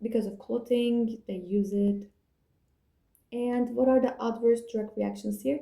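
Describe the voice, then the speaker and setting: A woman's somewhat breathy, fairly high voice with a dark, mellow tone and fairly even intonation. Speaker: student revision video maker. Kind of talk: revision tutorial. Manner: fast.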